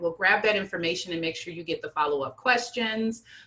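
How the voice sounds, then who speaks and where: Noticeable background noise runs under the recording. A woman speaks at a medium pitch. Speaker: nonprofit director and luncheon co-host. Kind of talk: online meeting announcements. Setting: video call. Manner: fast.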